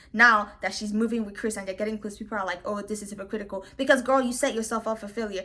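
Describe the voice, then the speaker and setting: Noticeable background noise sits under a woman talking at a very fast pace. Her tone is animated and her pitch fairly high. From Nigeria. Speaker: reality TV commentator (YouTuber). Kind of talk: casual commentary monologue. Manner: loud.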